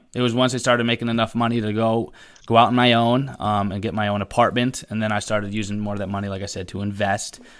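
Very clean and set against a silent background, the recording has a man with an American accent talking at a very fast pace in a fairly low, monotone, flat voice. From Connecticut. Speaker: tech YouTuber. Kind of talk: casual chat.

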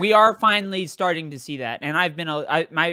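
At a fairly quick pace, the speech is captured in a very clean recording with a silent background. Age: 30s. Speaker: film critic and comedian. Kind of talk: casual chat.

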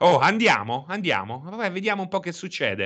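Against a quiet background, a man speaks in a high, bright, sharp voice with very wide pitch swings. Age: 40s. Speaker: video game streamer. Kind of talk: casual chat. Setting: live stream with chat.

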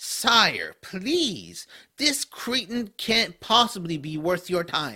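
A man's raised, projected voice, high in pitch, with very wide pitch swings at a very slow pace. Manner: sneering, contemptuous.

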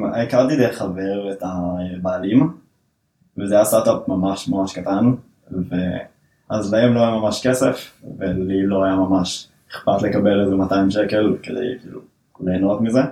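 Very slowly, a man talks at a fairly low pitch with fairly even intonation. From northern Israel. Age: 20s. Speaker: software developer. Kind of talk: casual interview.

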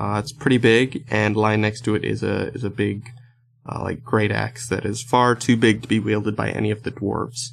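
A man talks at a moderate pace with vocal fry. His intonation is monotone and flat. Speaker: game master of a tabletop role-playing podcast. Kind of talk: casual promo chat; tabletop role-play narration. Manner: hesitant, many fillers.

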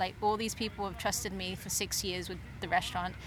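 A woman speaks with an English accent and fairly even intonation. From England. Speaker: pop-up dinner chef and organizer. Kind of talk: casual interview.

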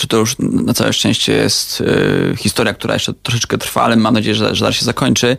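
This is a man speaking. He keeps a moderate pace. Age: 20s. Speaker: startup co-founder. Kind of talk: radio interview.

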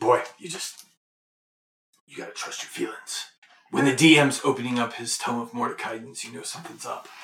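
Using a raspy, put-on character voice, a man speaks at a medium pitch and a moderate pace, with big swings in loudness. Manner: gruff, world-weary.

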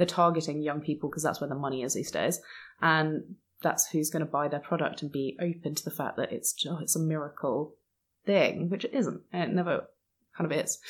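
A woman's very deep, low pitch at a fairly quick pace, with fairly even intonation on a very clean recording with a silent background. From England. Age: 20s. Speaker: podcast guest. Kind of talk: casual chat.

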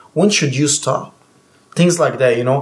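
Fairly high, somewhat breathy male voice with fairly even intonation. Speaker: personal trainer.

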